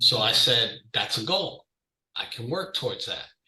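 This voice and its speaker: A man talks loudly at a moderate pace with a New York accent. His tone is bright and sharp. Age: 50s. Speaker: client giving a fitness testimonial. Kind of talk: testimony.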